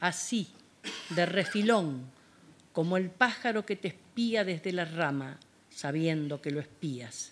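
Her pitch is fairly low for a woman. She talks at a very slow pace. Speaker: poet. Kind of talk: poetry reading. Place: hall. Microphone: handheld.

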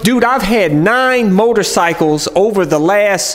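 Very wide pitch swings mark the way this man speaks. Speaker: motovlogger. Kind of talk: casual vlog chat. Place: garage.

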